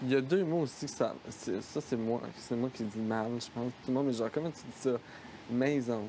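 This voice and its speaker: This man talks at a moderate pace and a medium pitch. His pitch variation is ordinary. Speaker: reality-show commentator. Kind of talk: casual chat.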